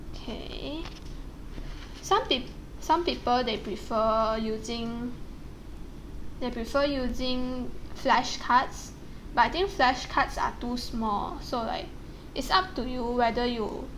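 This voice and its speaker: Woman with a strong non-native accent, high-pitched, ordinary pitch variation, very slow pace, long and frequent pauses. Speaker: actuarial science student. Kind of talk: casual talk to camera.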